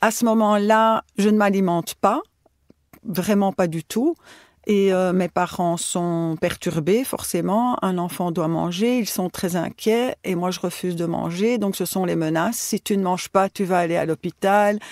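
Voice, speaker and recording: A woman with an ordinary speaking voice and medium pitch talks at a fairly slow pace with fairly even intonation, in a very clean recording with a silent background. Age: 60s. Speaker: retired teacher, patient. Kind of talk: personal testimony.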